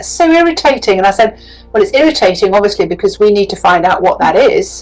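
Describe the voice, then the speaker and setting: Over music in the background, a woman speaks very fast with very wide pitch swings. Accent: British. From England. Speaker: business coach and psychic. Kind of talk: interview answer. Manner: entertaining.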